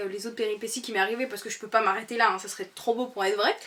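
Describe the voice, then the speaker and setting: A woman with a plain, everyday voice speaks at a fairly high pitch with ordinary pitch variation. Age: 20s. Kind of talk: casual talk to camera. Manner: upbeat, chatty.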